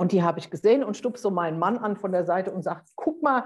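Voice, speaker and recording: A woman speaks in a dark, mellow tone. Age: 50s. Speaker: life coach and motorcyclist. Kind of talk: casual interview.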